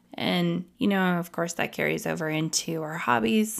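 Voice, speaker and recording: A woman speaks at a fairly slow pace with a fairly low pitch and lively intonation in a plain, everyday voice. The recording is very clean, with a silent background. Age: 30s. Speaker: podcast host. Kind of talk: solo podcast monologue.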